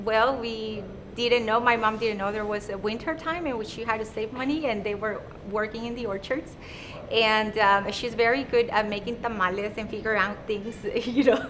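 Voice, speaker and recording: Fairly even intonation at a moderate pace, with audible room echo. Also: woman, fairly high pitch for a woman. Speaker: real estate agent. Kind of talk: interview. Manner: halting.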